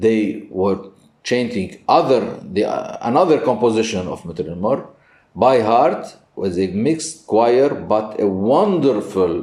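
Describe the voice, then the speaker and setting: Very slow in pace, a man speaks at a medium pitch with a non-native accent. His intonation is lively. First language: Arabic. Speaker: priest and Byzantine music teacher. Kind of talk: interview. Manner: halting.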